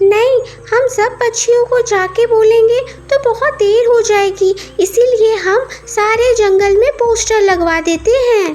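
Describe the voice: A woman does a cartoonish character voice, extremely high-pitched, fairly slow and fairly even in intonation. Clear background noise runs underneath.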